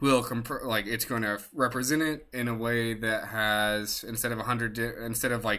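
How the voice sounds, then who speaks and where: At medium pitch, a man speaks in a monotone with flat intonation and a bright, sharp tone. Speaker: data science student presenter. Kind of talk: tutorial. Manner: fast; halting, many fillers.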